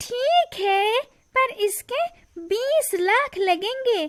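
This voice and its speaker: A woman puts on a squeaky character voice at an extremely high pitch, her intonation lively. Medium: cartoon.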